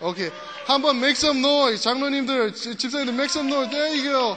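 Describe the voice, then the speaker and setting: A man with an extremely high pitch and an animated tone, over noticeable background noise. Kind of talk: sermon with pep talk. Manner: animated, rallying, crowd-energizing.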